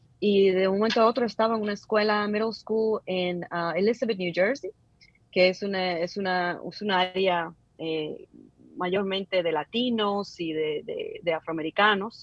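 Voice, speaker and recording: Using a normal speaking voice, a woman talks at a fairly slow pace and a medium pitch with ordinary pitch variation. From Dominican Republic, Santo Domingo (Villa Mella). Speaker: digital advertising specialist. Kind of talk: interview conversation. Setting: call.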